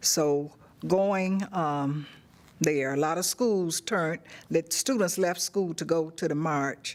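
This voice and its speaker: In an Alabama accent, the speaker talks at a very slow pace with ordinary pitch variation. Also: woman, fairly low pitch for a woman. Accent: Southern US (Alabama). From Birmingham, Alabama. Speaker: civil rights activist. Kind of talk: oral history interview.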